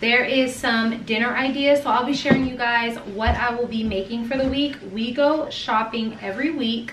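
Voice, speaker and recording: There is noticeable background noise. A woman speaks over it at a fairly slow pace. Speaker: mom vlogger. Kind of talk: casual vlog chat. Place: kitchen. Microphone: camera far.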